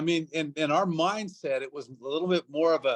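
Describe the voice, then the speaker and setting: A man talks with a fairly high pitch. The sound is dry and close, without echo. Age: 60s. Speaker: network marketing leader. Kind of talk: motivational talk. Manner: fast.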